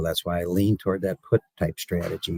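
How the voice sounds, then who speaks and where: A man is talking. His voice sounds dry and close, without any echo. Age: 60s. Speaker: cattle market analyst and commodity broker. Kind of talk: radio interview. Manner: halting, many fillers and repetitions.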